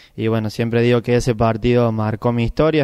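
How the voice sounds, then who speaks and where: A man's voice against a quiet background. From Argentina, Córdoba province countryside. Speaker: bocce world champion. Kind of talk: interview. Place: hall. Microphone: handheld.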